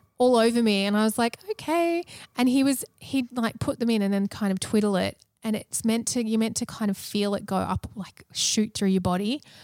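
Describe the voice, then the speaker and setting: A woman with an ordinary speaking voice talks at a moderate pace, her fairly high pitch showing ordinary variation, in a dry, close recording with no echo. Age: 30s. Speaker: podcast co-host going through IVF. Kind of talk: casual chat.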